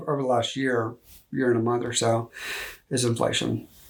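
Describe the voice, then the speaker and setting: Talking at a very fast pace, a man with a Texas accent keeps a medium pitch. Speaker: loan officer. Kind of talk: interview.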